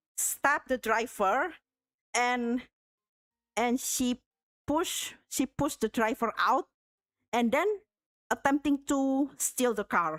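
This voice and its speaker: A woman with a non-native accent, high-pitched and lively in intonation, speaking very slowly, in a very clean recording with a silent background and a dry, close sound with no echo. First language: not English. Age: 30s. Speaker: art streamer. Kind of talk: casual chat. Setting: live stream. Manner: halting.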